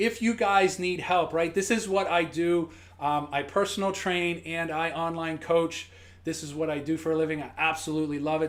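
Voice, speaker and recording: Fairly even intonation accompanies a moderate pace. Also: man. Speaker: fitness coach. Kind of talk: live-stream tutorial. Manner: halting; casual.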